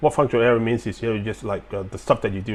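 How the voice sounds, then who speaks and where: A man speaks with a slight Chinese accent. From Hong Kong and China. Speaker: military veteran. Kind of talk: live-stream Q&A talk. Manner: halting, many fillers.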